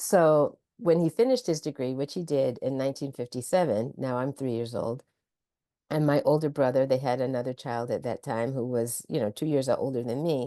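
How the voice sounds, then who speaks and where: A woman's very deep, low voice with a dark, mellow tone and an American accent, at a moderate pace with ordinary pitch variation, against a quiet background. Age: 70s. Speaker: college president, educator. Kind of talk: interview. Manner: measured, storytelling.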